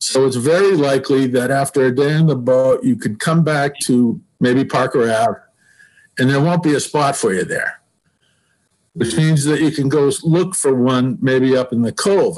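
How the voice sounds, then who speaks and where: Here is a man with an American accent and an ordinary speaking voice. His pitch is fairly high, with ordinary pitch variation at a moderate pace. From Massachusetts (South Shore). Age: 60s. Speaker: sailing club member proposing a pier. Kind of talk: public meeting presentation.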